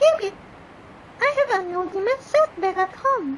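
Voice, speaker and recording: This is a cartoonish character voice at a moderate pace. Background noise is clearly audible. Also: woman, extremely high pitch for a woman. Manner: chirpy, flirtatious.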